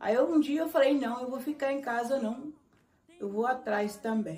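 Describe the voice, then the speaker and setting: With a rural Minas Gerais accent, the speaker has a dark, mellow tone and lively intonation, and the room echo is audible. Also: woman. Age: 60s. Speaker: congado dancer, elder of the quilombo. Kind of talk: documentary interview, personal storytelling. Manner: conversational, with some halting restarts.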